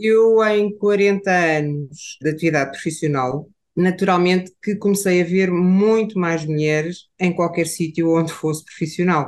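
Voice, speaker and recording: A woman speaks at a fairly slow pace with hardly any pauses, her pitch fairly low and its variation ordinary. Her loudness stays very even, and she has an unremarkable speaking voice. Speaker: psychologist. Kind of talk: casual chat.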